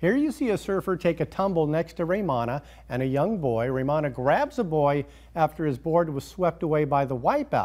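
The voice moves at a moderate pace with ordinary pitch variation against a quiet background. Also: man. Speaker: news anchor. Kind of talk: news reading with banter. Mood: upbeat, amused. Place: studio.

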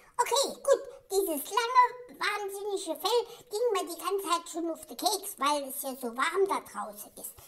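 At a moderate pace, someone talks in an extremely high-pitched, put-on character voice. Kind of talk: comedic pet voice-over monologue. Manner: indignant, chatty.

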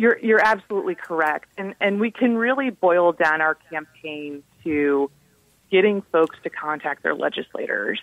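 Lively intonation marks this woman's medium-pitched speech at a moderate pace. She has a plain, everyday voice. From US Midwest, southwest Ohio. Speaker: anti-death-penalty advocacy director. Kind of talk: radio interview.

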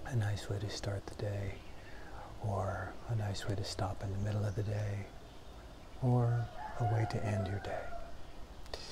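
A man talks at a fairly slow pace. Loud background noise is present. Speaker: meditation teacher. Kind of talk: guided meditation, short one-minute beginner session with breath cues. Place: home room. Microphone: lapel.

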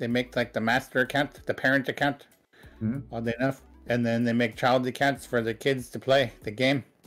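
Faint music plays in the background. A man speaks in a monotone, flat intonation. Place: home room.

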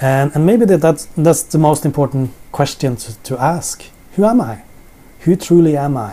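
A man's fairly high voice in a Norwegian accent, dark and mellow in tone with lively intonation. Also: moderate pace. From Norway. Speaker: Bible teacher. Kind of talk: sermon. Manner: halting. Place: home room. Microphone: camera far.

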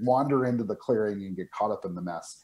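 Against a quiet background, a man talks at a fairly quick pace in a dark, mellow tone. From New Mexico. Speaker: board game publisher. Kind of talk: game demo interview. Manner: halting, many fillers and repeats. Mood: friendly, enthusiastic. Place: home room. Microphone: video call.

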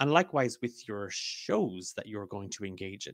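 With an unremarkable speaking voice, a man talks at a moderate pace in a fairly low pitch, recorded dry with no echo and a quiet background. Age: 30s. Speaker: podcast co-host and game master; podcast co-host. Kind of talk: casual chat. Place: home room. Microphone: studio mic.

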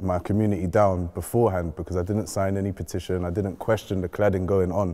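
In a London accent, a man speaks at a fairly quick pace with a very deep, low pitch and a dark, mellow tone. His intonation is monotone and flat, over a quiet background. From west London (North Kensington). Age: young. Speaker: community activist; panelist. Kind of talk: panel discussion. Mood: earnest, emotional. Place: hall.

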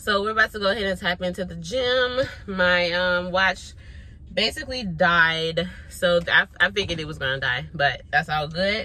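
Her tone is bright and sharp, with a fairly low pitch for a woman. The sound is dry with no echo. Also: ordinary pitch variation, moderate pace. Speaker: vlogger. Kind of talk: casual vlog chat. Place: car. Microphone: phone near.

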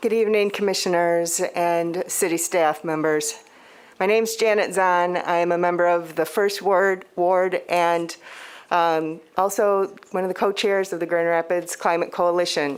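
A woman talks in a normal speaking voice at a fairly low pitch and a fairly slow pace. Her intonation is fairly even and her loudness very even. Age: 60s. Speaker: public commenter, climate activist. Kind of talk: public comment at city meeting. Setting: city commission meeting.

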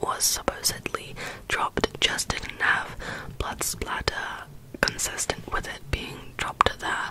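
A woman whispers at a fairly slow pace. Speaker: ASMR content creator. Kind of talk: whispered true crime narration for relaxation. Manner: whispered, soft-spoken. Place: home room. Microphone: studio mic.

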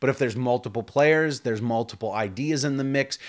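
Delivered at a very fast pace with ordinary pitch variation, the speech sits over a quiet background. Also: man. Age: 40s. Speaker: board game reviewer. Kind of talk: review. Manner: animated. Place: home room.

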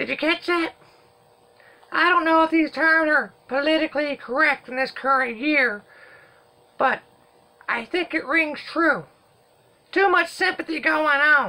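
A high, cartoonish character voice moves at a moderate pace with long, frequent pauses. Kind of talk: comic overacting. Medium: puppet show. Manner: folksy, rambling, drawling.

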